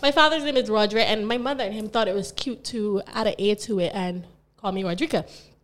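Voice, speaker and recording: Speaking fairly quickly, a woman uses an animated tone with very wide pitch swings. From Barbados. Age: 20s. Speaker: podcast host. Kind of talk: casual chat.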